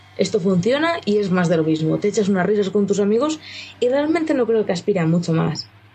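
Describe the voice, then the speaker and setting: A woman of medium pitch speaks at a fairly quick pace with very wide pitch swings. Her loudness stays very even, and there is noticeable background noise. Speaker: video game journalist. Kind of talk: casual chat.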